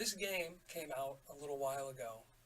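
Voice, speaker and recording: Quiet and fairly high in pitch, a man speaks with ordinary pitch variation over noticeable background noise. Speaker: gaming YouTuber. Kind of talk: let's play commentary.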